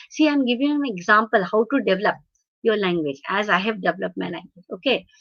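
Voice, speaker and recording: Speaking with a Marathi accent, a woman lets her pitch swing very widely. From India, Hyderabad. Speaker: professor of translation studies. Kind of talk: lecture. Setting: webinar video call. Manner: halting, many fillers.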